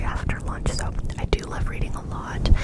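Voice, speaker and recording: Whispering, a woman speaks over noticeable background noise. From California, USA. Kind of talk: ASMR whisper ramble. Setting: close microphone, studio-like. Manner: whispered, soft-spoken.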